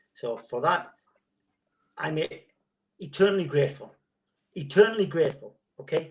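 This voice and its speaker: The voice is somewhat breathy, with lively intonation and a fairly quick pace. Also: man. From northern England, Gateshead. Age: 60s. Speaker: former footballer. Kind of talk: interview.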